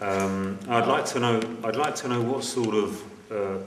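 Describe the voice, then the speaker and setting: Medium-pitched male speech, fairly even in intonation, amid audible room echo and noticeable background noise. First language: not English. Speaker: audience member. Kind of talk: audience question. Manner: halting.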